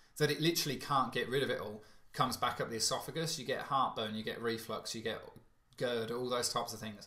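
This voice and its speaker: The voice has a British accent and a bright, sharp tone with ordinary pitch variation. It moves at a fairly quick pace amid audible room echo. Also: man. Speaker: alkaline diet coach. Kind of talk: webinar Q&A. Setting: online webinar. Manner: fast.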